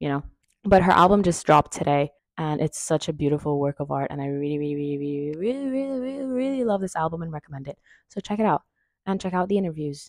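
Speaking at a very fast pace, a woman with a very deep, low pitch makes very wide pitch swings, the sound dry with no echo and the background quiet. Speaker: vlogger. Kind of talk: casual vlog chat. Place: home room.

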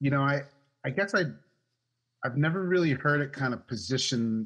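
A man with an American accent speaks at a moderate pace over a quiet background. His pitch swings very widely. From US Northeast, Maine. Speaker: remote work consultant; interview guest. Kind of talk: interview conversation. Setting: remote call. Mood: friendly, animated. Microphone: video call.

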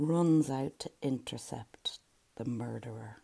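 Over a quiet background, a woman speaks at a very slow pace. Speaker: poet. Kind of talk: poem reading. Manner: slow, measured, lyrical. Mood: calm, measured, earnest. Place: home room. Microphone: earbuds.

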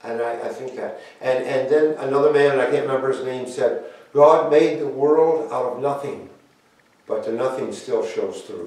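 Moderate pace, slightly mellow tone and ordinary pitch variation, with strong room echo. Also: man, medium pitch for a man.

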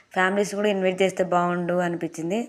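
Recorded very cleanly against a silent background, a woman speaks in a flat monotone at a fairly low pitch. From Andhra Pradesh. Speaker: vlogger. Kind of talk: vlog narration.

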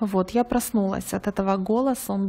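A woman at medium pitch and a moderate pace. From Ukraine. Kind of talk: testimony. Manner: earnest.

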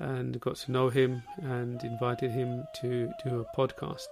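Over music in the background, a man speaks at a medium pitch and a fairly slow pace with ordinary pitch variation. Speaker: podcast host. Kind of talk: podcast introduction.

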